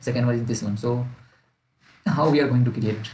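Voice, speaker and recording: A somewhat breathy man at a medium pitch and fairly quick pace, with audible room echo. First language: not English. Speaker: student making coding tutorials. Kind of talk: tutorial. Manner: halting.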